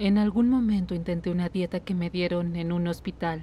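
A woman's fairly low, somewhat breathy voice with a dark, mellow tone, fairly even intonation and a moderate pace. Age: 30s. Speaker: patient. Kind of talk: medical consultation, personal testimony (Spanish dub). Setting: doctor's office.

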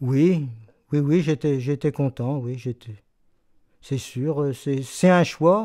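A man speaks very slowly, with long, frequent pauses and ordinary pitch variation. His fairly high voice has a dark, mellow tone over a quiet background. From Brittany, Fougères; Brittany. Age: 70s. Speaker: retired shoe factory worker. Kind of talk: oral history interview. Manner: halting, many hesitations. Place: home room.

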